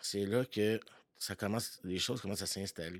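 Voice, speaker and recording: A man speaks at a fairly slow pace with fairly low pitch and fairly even intonation, a plain, everyday voice, in a dry, close sound with no echo. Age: 40s. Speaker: podcast guest sharing recovery story. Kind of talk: personal testimony. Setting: home basement.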